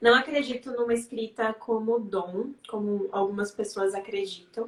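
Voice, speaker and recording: At a fairly slow pace, a woman speaks in a plain, everyday voice, fairly high in pitch with fairly even intonation. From Bahia, Brazil (Serrinha, sertão). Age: 20s. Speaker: psychologist and writer. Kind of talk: interview on a live stream. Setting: online live stream.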